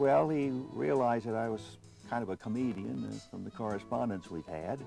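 Over faint background music, a man speaks at a fairly quick pace. The recording is dry, with no echo. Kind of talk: interview answer. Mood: jovial storytelling. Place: home room.

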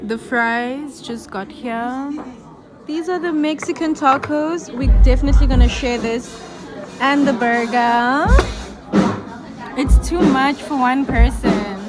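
Long, frequent pauses and ordinary pitch variation mark the speech, with clear music playing in the background. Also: woman. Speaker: vlogger. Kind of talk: casual vlog chat. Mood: upbeat, cheerful. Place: cafe. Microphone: phone near.

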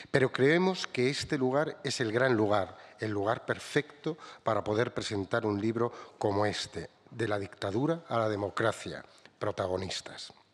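With ordinary pitch variation, a man delivers his words at a medium tempo. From Spain. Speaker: book publisher. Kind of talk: prepared speech read aloud. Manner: formal. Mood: formal, grateful. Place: hall. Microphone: podium.

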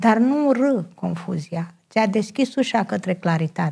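Here is a woman with an unremarkable speaking voice. She talks at a fairly slow pace with lively intonation. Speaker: personal development counselor. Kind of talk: TV talk show interview. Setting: TV studio.

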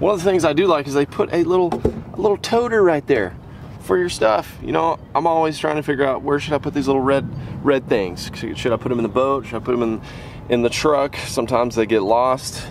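Over light background noise, a man talks at a fairly quick pace in a dry sound with no echo. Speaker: fishing video creator. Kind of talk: casual vlog chat. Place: open country. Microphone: phone near.

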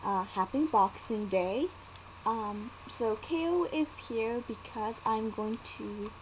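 A woman's fairly high voice, very slow and with lively intonation, over light background noise. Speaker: vlogger and storyteller. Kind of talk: casual talk to camera. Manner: hesitant, many fillers. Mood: cheerful, relaxed. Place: home room. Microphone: webcam.

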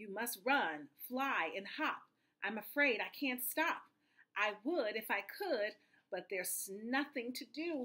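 A woman puts on a character voice, pitched fairly high, with a bright, sharp tone. Her intonation is lively and her pace is slow.

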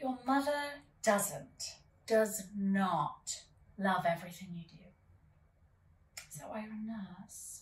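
Speaking very slowly with long, frequent pauses, a woman with an English accent uses a theatrical tone, a fairly high pitch, lively intonation and big swings in loudness, with audible room echo. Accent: affected English. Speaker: actor in a scene. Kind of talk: scripted dramatic dialogue. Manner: theatrical, dry and teasing. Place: home room.

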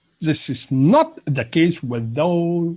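Against a quiet background, a man speaks at a fairly slow pace in a fairly high, somewhat breathy voice. His intonation is lively. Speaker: university lecturer. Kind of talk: lecture.

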